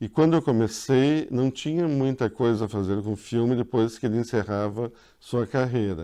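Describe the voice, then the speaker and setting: A man's medium-pitched voice, dark and mellow in tone, sits against a quiet background. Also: ordinary pitch variation, moderate pace. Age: 60s. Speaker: filmmaker and film professor. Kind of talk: interview.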